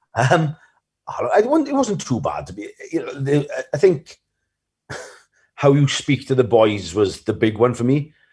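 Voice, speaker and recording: With a South Wales Valleys accent, a man talks with long, frequent pauses. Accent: Welsh Valleys. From Wales, the Valleys. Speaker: rugby coach. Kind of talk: podcast interview. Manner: fast; mumbling.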